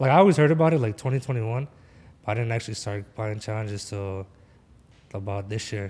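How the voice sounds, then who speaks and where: A man of medium pitch with a Philadelphia accent, ordinary pitch variation, and long, frequent pauses, in a very clean recording against a silent background. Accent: Philadelphia American English. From Philadelphia, US. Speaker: forex trader. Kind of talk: casual chat. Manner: animated.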